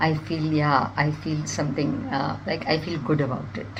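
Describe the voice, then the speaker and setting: Moderate pace, noticeable background noise and audible room echo. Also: woman. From India. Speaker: nutritionist and amateur poet. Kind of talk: self-introduction.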